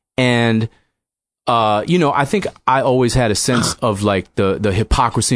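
An ordinary speaking voice with an American accent, at a moderate pace with ordinary pitch variation over a quiet background. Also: man. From Boston suburbs (Newton), Massachusetts. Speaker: author. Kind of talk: casual chat.

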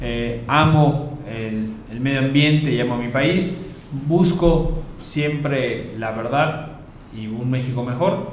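A man talks at a fairly high pitch amid noticeable background noise and audible room echo. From Mexico. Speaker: podcast host, university founder. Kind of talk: casual chat.

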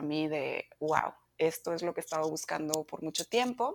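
A woman speaks at a moderate pace with ordinary pitch variation, in a plain, everyday voice. The recording is very clean, with a silent background. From Mexico, Monterrey. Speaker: yoga teacher. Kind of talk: interview.

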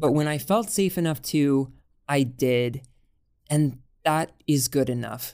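Her voice is very deep and low for a woman, with a dark, mellow tone and ordinary pitch variation. She speaks at a very slow pace with long, frequent pauses. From Texas. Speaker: podcast host. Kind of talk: podcast monologue; interview. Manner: animated.

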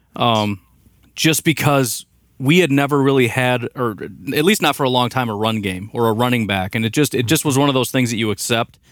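In a very clean recording with a silent background, a man with an American accent uses an ordinary speaking voice at medium pitch, with ordinary pitch variation and a fairly quick pace. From Illinois, US Midwest. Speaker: podcast host guest, sports fan. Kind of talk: casual chat. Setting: studio.

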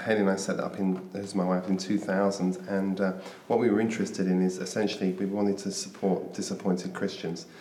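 The speech moves at a fairly quick pace with hardly any pauses, heard through audible room echo and noticeable background noise. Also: man. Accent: British. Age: 50s. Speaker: author and mentor. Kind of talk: interview.

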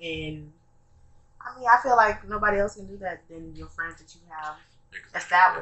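The talk runs at a fairly quick pace with ordinary pitch variation. Loudness swings widely, and noticeable background noise is present. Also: woman, medium pitch for a woman. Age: 20s. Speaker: podcast co-host. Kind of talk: casual chat.

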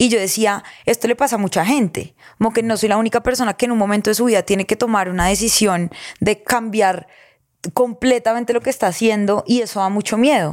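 A woman speaks at a fairly quick pace with a fairly high pitch and ordinary pitch variation. Her loudness stays very even, and the recording is very clean with a silent background. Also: dry, close sound with no echo. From Colombia, Girardot. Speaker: podcast host and content creator. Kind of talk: casual interview chat.

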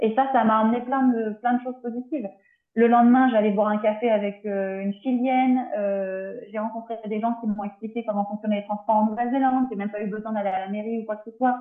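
A woman's flat, monotone delivery at a fairly quick pace. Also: fairly high pitch for a woman. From France, Tours. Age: 30s. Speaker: naturopath. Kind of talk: interview. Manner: halting. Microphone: poor sound quality.

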